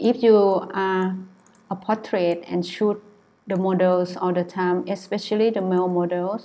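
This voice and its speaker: Soft-spoken, a woman talks at a fairly slow pace with a medium pitch, a dark, mellow tone and monotone, flat intonation. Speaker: photographer. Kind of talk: tutorial. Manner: halting.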